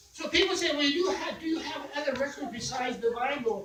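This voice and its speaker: Noticeable noise can be heard in the background. The speaker's intonation is lively. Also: man. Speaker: church guest speaker, preacher. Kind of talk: sermon, preaching to a congregation.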